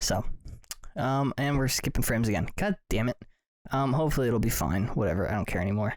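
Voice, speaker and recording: A man talks at a very fast pace and a medium pitch. His intonation is lively and his loudness very even. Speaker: podcast host. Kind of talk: casual chat. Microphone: very close to the mic.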